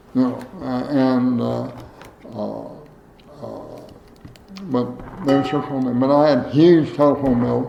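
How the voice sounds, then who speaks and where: Speaking very slowly with long, frequent pauses, a man with an American accent and a medium pitch is heard through audible room echo and noticeable background noise. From Ohio, US Midwest. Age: 80s+. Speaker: former state legislator. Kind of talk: oral history interview. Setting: at his home. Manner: halting, many fillers.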